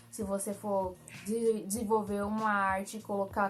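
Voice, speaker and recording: With music in the background, a woman talks fairly slowly at a fairly high pitch. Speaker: graphic designer, tutorial youtuber. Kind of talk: tutorial.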